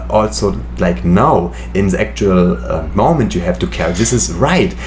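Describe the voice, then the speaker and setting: Through noticeable background noise and audible room echo, a man speaks with a German accent. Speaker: medical student and youtuber. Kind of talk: casual chat. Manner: halting.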